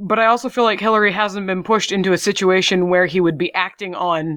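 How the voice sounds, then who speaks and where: Against a quiet background, a woman with an American accent and a plain, everyday voice speaks at medium pitch and a fairly quick pace, with ordinary pitch variation. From US South. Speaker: tabletop RPG podcast player. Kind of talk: casual chat.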